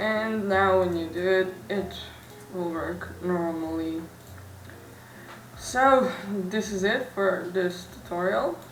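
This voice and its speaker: Speaking very slowly with long, frequent pauses, a woman with a non-native accent uses a medium pitch and ordinary pitch variation, and room echo is audible. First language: not English. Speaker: tech tutorial youtuber. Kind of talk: tutorial. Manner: halting.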